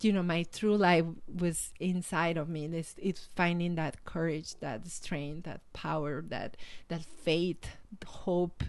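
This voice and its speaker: With a Mexican accent, a woman speaks at a fairly low pitch and a very slow pace. Her intonation is fairly even. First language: Spanish. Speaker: life coach and motivational speaker. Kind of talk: interview. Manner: halting.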